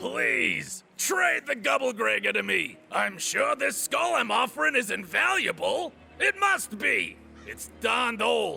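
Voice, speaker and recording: A man shouts in a put-on character voice at a fairly slow pace. Clear background noise runs underneath. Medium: video game. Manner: hesitant, stammering.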